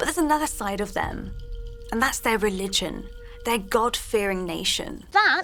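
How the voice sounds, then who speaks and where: Music plays in the background as a woman speaks at a fairly high pitch. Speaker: archaeologist and TV presenter. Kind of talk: TV documentary presenting.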